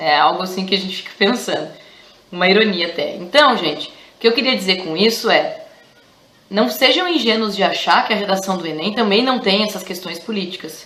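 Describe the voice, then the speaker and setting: A woman with a southern Brazilian accent talks with ordinary pitch variation and big swings in loudness, over noticeable background noise and audible room echo. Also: medium pitch for a woman, fairly quick pace. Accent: gaúcho (southern Brazilian). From Rio Grande do Sul, southern Brazil. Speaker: teacher. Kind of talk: educational vlog. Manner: casual, with many hesitations.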